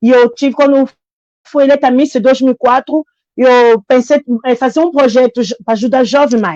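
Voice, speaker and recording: With a dry, close sound and no echo, a woman speaks at a moderate pace in a high-pitched voice with a dark, mellow tone. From Congo. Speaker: immigrant woman sharing her story. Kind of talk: testimony. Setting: live stream. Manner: halting.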